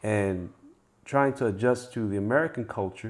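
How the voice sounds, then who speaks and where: A man with an African accent and ordinary pitch variation. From Africa, raised in the United States. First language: African language. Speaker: wealth guest. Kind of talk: casual conversation.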